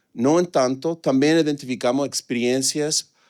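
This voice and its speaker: Here a man speaks with fairly even intonation. The sound is dry and close, with no echo. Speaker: economist presenting research. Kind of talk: conference presentation. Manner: hesitant, many filler sounds.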